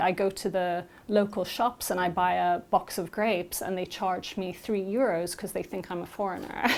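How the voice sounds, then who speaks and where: A woman with a British accent at a moderate pace, with hardly any pauses. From Malta, half Maltese half Scottish. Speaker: interviewee who helped a migrant. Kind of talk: interview.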